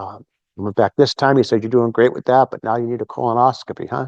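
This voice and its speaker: A man with a plain, everyday voice, fairly quick and fairly even in intonation, over a quiet background. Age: 60s. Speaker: recovery event speaker, former seminarian. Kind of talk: talk at recovery meeting. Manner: conversational, many fillers.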